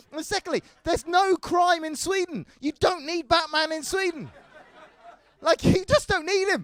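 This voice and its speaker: In a dry, close sound with no echo, a man talks with an English accent. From England. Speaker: stand-up comedian. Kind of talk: stand-up.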